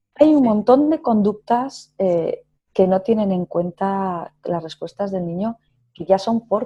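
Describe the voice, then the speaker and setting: Somewhat breathy and medium in pitch, a woman talks at a fairly slow pace with lively intonation. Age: 40s. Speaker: psychotherapist. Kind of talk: interview.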